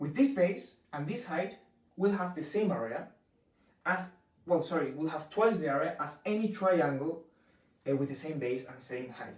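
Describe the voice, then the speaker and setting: In a Spanish accent, a man with a fairly high voice speaks at a moderate pace with lively intonation, long, frequent pauses and big swings in loudness. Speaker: math teacher. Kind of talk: tutorial. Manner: halting, many fillers.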